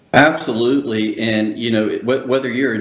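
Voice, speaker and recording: A man at a medium pitch and moderate pace, his intonation fairly even, over noticeable background noise. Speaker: conservation government relations director. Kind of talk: radio interview.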